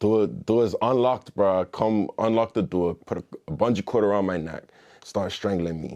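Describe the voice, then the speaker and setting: Using ordinary pitch variation, a man with a fairly low pitch talks at a moderate pace. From Bermuda. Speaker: musician and former gang member. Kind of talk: interview storytelling. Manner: casual, slangy and profane.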